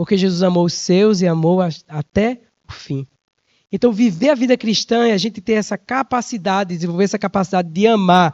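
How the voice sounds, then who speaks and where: A man's high voice moves at a fairly quick pace, its pitch varying in an ordinary way. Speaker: preacher. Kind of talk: sermon. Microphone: microphone swapped after cutting out.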